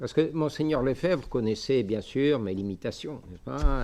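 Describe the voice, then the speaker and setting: Lively intonation against a quiet background. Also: man. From Algeria. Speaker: bishop, missionary priest. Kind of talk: lecture. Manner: halting, many hesitations.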